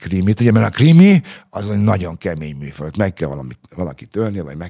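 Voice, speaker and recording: At a fairly quick pace, a man with a fairly low pitch and a dark, mellow tone swings his pitch very widely over a quiet background. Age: 60s. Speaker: retired police spokesman. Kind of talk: interview. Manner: hesitant, many fillers. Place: studio. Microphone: studio mic.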